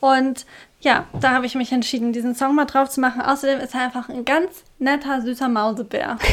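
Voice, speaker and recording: At a fairly quick pace, a woman talks in a high pitch with fairly even intonation. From Germany, non-standard dialect region. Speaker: podcast co-host. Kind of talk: casual chat.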